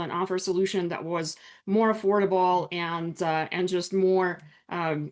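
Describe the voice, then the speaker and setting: A woman speaks with a Russian accent. The background is quiet. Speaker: business attorney. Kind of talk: online workshop presentation.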